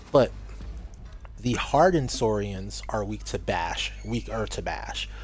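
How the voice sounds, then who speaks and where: A soft-spoken man talks with big swings in loudness and long, frequent pauses, and the room echo is audible. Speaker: video game streamer. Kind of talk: gameplay commentary.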